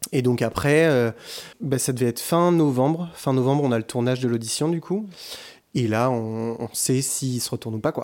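This is an ordinary speaking voice from a man at medium pitch. He talks at a moderate pace with ordinary pitch variation. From France, Bordeaux. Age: 20s. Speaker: singer. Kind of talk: casual chat. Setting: living room with echo.

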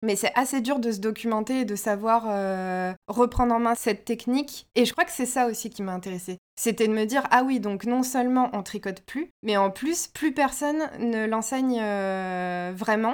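A woman with a normal speaking voice talks at a moderate pace with hardly any pauses, using a fairly high pitch and ordinary pitch variation. The recording is very clean, with a silent background. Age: 30s. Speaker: knitwear designer. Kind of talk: interview.

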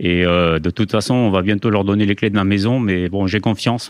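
The background is quiet as a man talks at a fairly quick pace. His pitch sits fairly low. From Spain, moved to France at age 7. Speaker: air force general, head of HR. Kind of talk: interview.

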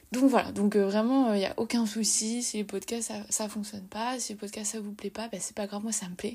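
At a moderate pace, a woman of medium pitch speaks with a somewhat breathy, dark, mellow tone and monotone, flat intonation. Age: 20s. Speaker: podcast host and social media writer. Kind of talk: casual monologue. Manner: halting.

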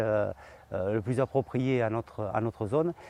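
A man's medium-pitched voice with a dark, mellow tone, fairly even intonation and a fairly slow pace, in a dry, close sound with no echo over a quiet background. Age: 50s. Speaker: farmer. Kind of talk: interview. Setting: on his farm. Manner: halting, many hesitations.

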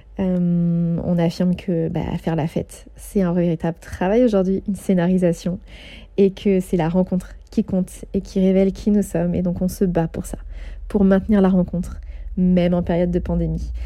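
Monotone, flat intonation from a woman with a dark, mellow tone, medium pitch and a moderate pace. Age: 30s. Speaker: podcast host and event organizer. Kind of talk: monthly update monologue.

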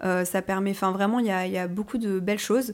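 In an unremarkable speaking voice, a woman talks at a moderate pace and medium pitch. Her intonation is fairly even. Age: 30s. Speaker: content creator. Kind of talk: podcast interview.

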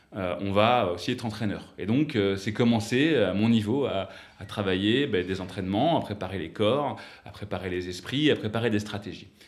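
Speaking at a moderate pace with ordinary pitch variation, a man with a fairly low voice is heard against audible room echo. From western France, south of Nantes. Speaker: startup founder and investor. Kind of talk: interview.

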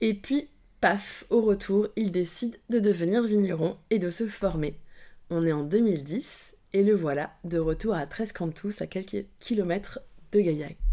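Speaking at a very slow pace, a woman at a medium pitch has a dark, mellow tone and ordinary pitch variation. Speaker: podcast host. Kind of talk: scripted narration; interview.

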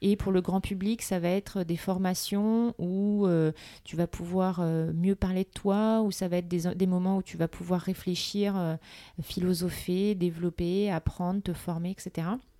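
In a very clean recording with a silent background and a dry, close sound with no echo, a woman speaks at a medium pitch and fairly slow pace, with a dark, mellow tone and monotone, flat intonation. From Paris, France. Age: 30s. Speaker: entrepreneur. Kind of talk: casual interview.

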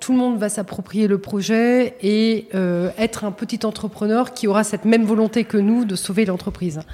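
Noticeable background noise sits behind a woman with a fairly high pitch. She speaks at a moderate pace with fairly even intonation. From Paris region, France. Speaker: retail company executive. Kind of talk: interview.

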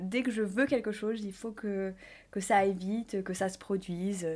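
The recording is very clean, with a silent background. A woman of medium pitch speaks at a fairly slow pace. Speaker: fashion influencer and entrepreneur. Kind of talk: interview. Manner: spontaneous.

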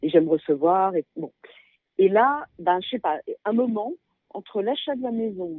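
Speaking at a moderate pace, a woman uses a medium pitch with lively intonation. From Paris, France. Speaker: guesthouse owner. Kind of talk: interview.

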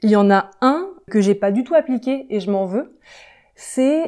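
A woman's fairly high-pitched voice has a dark, mellow tone, heard in a very clean recording with a silent background. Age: 20s. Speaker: software developer. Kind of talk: interview. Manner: hesitant fillers.

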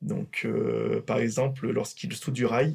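A man speaks at a fairly slow pace with vocal fry in his voice. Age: 30s. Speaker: railway maintenance works manager. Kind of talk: workplace podcast interview. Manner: hesitant with fillers.

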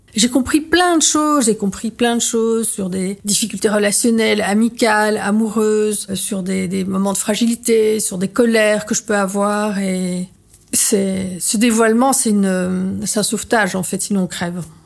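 Speaking at a fairly slow pace with hardly any pauses, a woman uses a medium pitch and ordinary pitch variation. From Belgium. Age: 50s. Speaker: artist and former journalist. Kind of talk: testimony. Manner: halting.

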